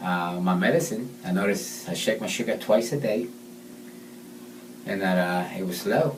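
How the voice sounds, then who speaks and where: A man talks with very wide pitch swings. There is audible room echo and noticeable background noise. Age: 50s. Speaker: patient testimonial. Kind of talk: testimony. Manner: halting.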